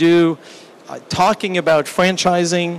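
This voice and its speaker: There is noticeable background noise as a man with a high-pitched voice talks at a fairly slow pace. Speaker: business executive and seminar speaker. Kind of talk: business seminar presentation. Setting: seminar room with small audience and translation equipment. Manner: slow, deliberate.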